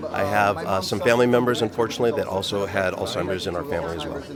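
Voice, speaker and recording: A man talks very fast at a fairly low pitch. Audible room echo and noticeable background noise surround his voice. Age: 40s. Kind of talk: red carpet interview. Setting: gala red carpet.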